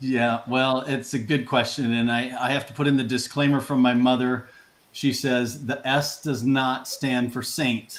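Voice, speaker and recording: A man with an American accent talks at a moderate pace, his intonation fairly even. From US Midwest. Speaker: business coach. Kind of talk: interview.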